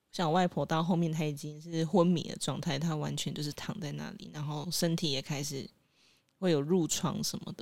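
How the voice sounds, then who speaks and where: A woman's very deep, low voice with vocal fry, fairly even intonation and a moderate pace. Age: 20s. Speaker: podcast co-host. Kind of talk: casual chat.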